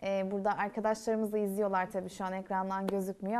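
Light background noise sits under a woman speaking very fast. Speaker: university TV show host; talk show host. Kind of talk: casual interview. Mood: warm, friendly. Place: stage.

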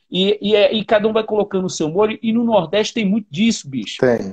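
A man's high voice at a fairly quick pace, ordinary pitch variation, and a quiet background. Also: hardly any pauses. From Brazil, Paraíba (Northeast). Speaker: drummer and live show host; live show host. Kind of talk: casual chat. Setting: livestream video call. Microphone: earbuds.

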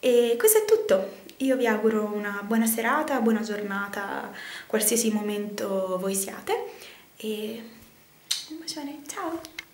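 A woman at a fairly slow pace, with long, frequent pauses and audible room echo. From Sicily. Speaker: fashion and beauty vlogger; beauty vlogger. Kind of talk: casual vlog. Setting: bathroom at home. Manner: chatty, hesitant. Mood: cheerful, chatty. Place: bathroom. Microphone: phone near.

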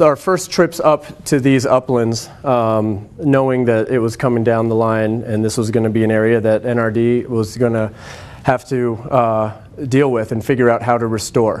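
This man talks at a moderate pace. His intonation is fairly even. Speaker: presenter. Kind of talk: lecture. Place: classroom.

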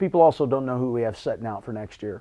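There is little background sound as this man talks. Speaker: head basketball coach. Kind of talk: interview answer. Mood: calm, reflective, optimistic. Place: office. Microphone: lapel.

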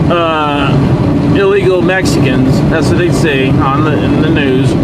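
A fairly slow pace, dry sound with no echo, and loud background noise. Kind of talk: casual vlog chat. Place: car. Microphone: phone near.

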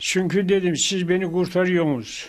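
Against a quiet background, a man speaks in a high voice. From Isparta, Turkey. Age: 90s. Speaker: elderly COVID-19 survivor. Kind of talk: interview answer. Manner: slow, halting. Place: home room. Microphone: handheld.

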